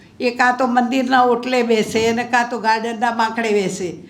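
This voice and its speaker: Noticeable background noise runs through the clip. There is audible room echo. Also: woman. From Gujarat, Ahmedabad. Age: 80s+. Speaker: social worker. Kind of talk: speech.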